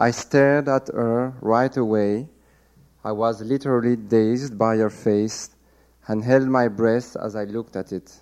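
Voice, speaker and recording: Over a quiet background, a man with a French accent speaks at a fairly slow pace with fairly even intonation. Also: medium pitch for a man. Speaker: novelist. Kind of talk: reading aloud. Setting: stage with audience.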